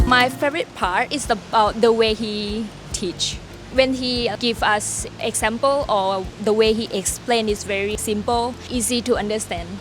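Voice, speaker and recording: Against noticeable background noise, a woman with a Thai accent speaks at a fairly slow pace, her fairly high pitch carrying fairly even intonation. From Thailand. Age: 20s. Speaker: online business owner, course student. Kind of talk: testimonial interview.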